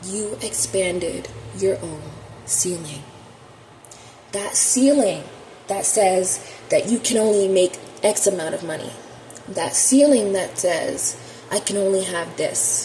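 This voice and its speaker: The speech is very slow, broken by long, frequent pauses. Audible room echo and noticeable background noise fill the recording. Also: woman, medium pitch for a woman, ordinary pitch variation. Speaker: tarot reader. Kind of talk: spiritual monologue to camera. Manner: shaky voice; impassioned.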